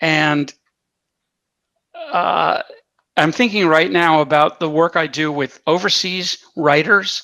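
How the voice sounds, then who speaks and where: In an American accent, a man with a bright, sharp tone and fairly high pitch talks at a very slow pace with long, frequent pauses and ordinary pitch variation, on a very clean recording with a silent background. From California. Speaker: comedy writer and teacher. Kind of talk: Q&A talk on comedy writing.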